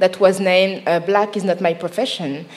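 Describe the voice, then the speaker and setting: A woman talks at a moderate speed as noticeable background noise fills the recording. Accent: Parisian. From France, Paris. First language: French. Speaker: journalist and podcast host. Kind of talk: live podcast panel discussion. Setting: live recording on stage at a festival.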